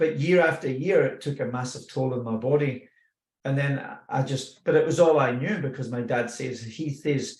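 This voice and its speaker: A somewhat breathy man's voice with a Scottish accent, fairly high in pitch, at a moderate pace, with fairly even intonation. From Scotland. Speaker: personal growth speaker. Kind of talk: personal testimony. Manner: casual, with hesitations.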